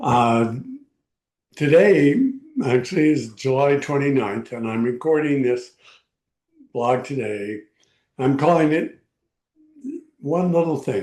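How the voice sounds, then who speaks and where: A man with an American accent speaks in a medium pitch at a very slow pace. His pitch variation is ordinary, and he leaves long, frequent pauses. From Texas, El Paso. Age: 80s+. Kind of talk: personal video blog. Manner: halting, with frequent fillers.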